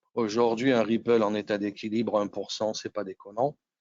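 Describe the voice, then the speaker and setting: A man with a fairly low pitch speaks at a fairly slow pace. His intonation is monotone and flat. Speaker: electronics engineer presenting webinar. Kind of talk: technical webinar presentation. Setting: home with windows open, online webinar. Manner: casual, many hesitations.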